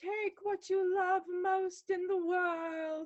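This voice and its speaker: An extremely high, squeaky put-on character voice speaks at a very slow pace. The intonation is monotone and flat. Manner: ghostly.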